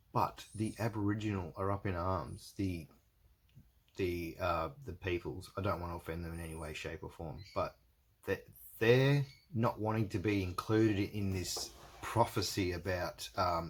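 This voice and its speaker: A somewhat breathy man with an Australian accent and a very deep, low pitch. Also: ordinary pitch variation, moderate pace. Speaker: religious video blogger. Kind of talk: casual monologue to camera. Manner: halting, many fillers and repetitions.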